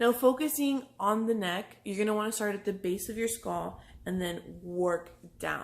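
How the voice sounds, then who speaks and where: A woman with a plain, everyday voice speaks at a moderate pace and medium pitch. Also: very clean recording, silent background. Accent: American. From Texas, Brownsville. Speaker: massage therapist. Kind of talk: tutorial. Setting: pre-recorded video. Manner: casual.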